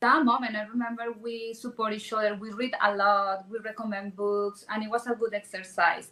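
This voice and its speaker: A woman with a Spanish accent speaks at a fairly high pitch in a bright, sharp tone. Her delivery is monotone and flat, at a moderate pace with hardly any pauses. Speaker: real estate agent and event sponsor. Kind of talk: panel discussion. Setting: stage with audience.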